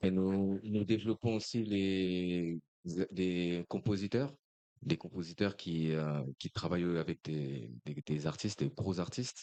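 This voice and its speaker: A man speaks at a moderate pace with a very deep, low pitch and ordinary pitch variation. His dark, mellow tone comes through a dry, close sound with no echo. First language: French. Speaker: music publisher. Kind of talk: panel discussion. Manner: halting.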